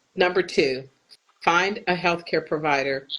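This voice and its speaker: A woman with an American accent. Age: 60s. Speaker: patient advocate. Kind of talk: interview.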